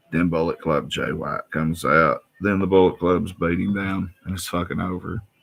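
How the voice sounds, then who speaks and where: A man's very deep, low voice with vocal fry, ordinary pitch variation and a fairly slow pace. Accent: Appalachian. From Appalachia. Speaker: wrestling vlogger. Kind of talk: casual show review. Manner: animated.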